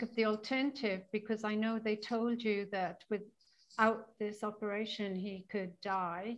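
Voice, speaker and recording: Here is a woman with an unremarkable speaking voice and a fairly high pitch. Her pace is moderate and her intonation fairly even. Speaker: interviewer host. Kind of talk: interview conversation.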